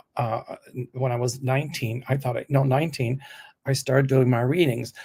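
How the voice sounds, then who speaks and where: Somewhat breathy and fairly high, a man's voice comes through. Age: 70s. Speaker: psychic reader. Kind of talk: casual chat.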